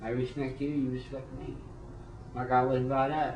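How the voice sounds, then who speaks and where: The room echo is audible as a man speaks. His pitch is medium and his pace moderate. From New Mexico. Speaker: former prison inmate. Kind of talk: personal testimony interview. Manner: halting, repeats words.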